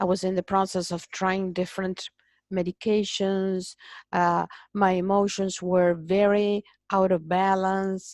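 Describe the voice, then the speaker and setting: Speaking with a Spanish accent at a fairly slow pace, a woman uses a medium pitch and monotone, flat intonation, with a dry, close sound that has no echo over a quiet background. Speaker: migraine patient. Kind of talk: interview.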